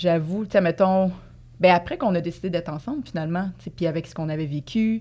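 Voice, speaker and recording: A woman's fairly low, dark, mellow voice at a very fast pace, with big swings in loudness and ordinary pitch variation. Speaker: dancer and actress. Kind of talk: casual chat.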